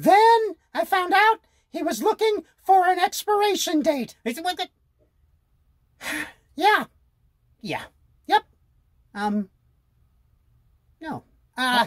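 A cartoonish character voice at an extremely high pitch moves at a fairly slow pace with long, frequent pauses. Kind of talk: comedy sketch. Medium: puppet.

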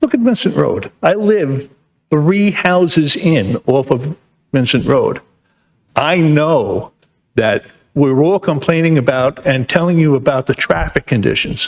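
In a New York accent, a man with a fairly high pitch and lively intonation speaks at a fairly slow pace with very even loudness, the sound dry and close with no echo. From New York, Long Island. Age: 70s. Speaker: resident speaking at public hearing. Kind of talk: public comment at town meeting. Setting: town planning board meeting.

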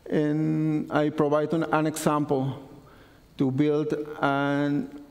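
A man with a non-native accent speaks in a fairly high pitch. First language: not English. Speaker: conference speaker. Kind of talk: technical conference talk. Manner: halting. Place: classroom.

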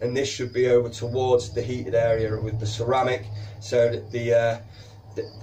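A man speaks with a Yorkshire accent at a medium pitch. His voice is somewhat breathy, with a dark, mellow tone. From Yorkshire, northern England. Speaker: reptile keeper and educational video host. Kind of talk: educational tutorial to camera. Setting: recording to camera while handling a snake. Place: shop.

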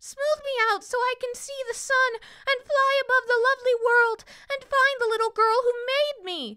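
A woman's put-on character voice, extremely high in pitch, at a moderate pace with hardly any pauses. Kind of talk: children's picture-book reading. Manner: friendly, brave, earnest.

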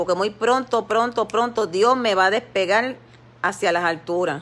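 Here a woman speaks at a moderate pace. Her pitch varies in an ordinary way. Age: 50s. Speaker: lay preacher on social media live. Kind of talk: devotional exhortation livestream. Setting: Facebook live stream. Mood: earnest, somewhat aggrieved. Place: home room. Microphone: phone near.

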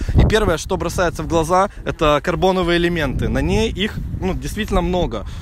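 A man speaks with ordinary pitch variation over noticeable background noise. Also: dry sound with no echo. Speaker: car vlogger. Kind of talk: casual car review walkthrough. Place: open country. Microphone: phone near.

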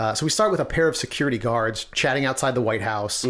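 With a quiet background, a man talks at a very fast pace, his loudness very even and his intonation lively. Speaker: podcast host. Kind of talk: casual podcast discussion. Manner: casual, conversational. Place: home room.

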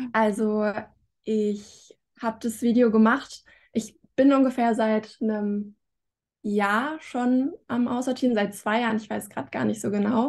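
A woman with a plain, everyday voice, fairly high in pitch, at a fairly slow pace with fairly even intonation. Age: 20s. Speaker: student and YouTuber; YouTuber. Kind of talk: casual interview. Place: home room. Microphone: video call.

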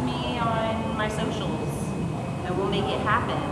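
A woman's voice carries audible room echo with loud background noise. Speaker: streamer. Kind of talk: casual chat. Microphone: phone near.

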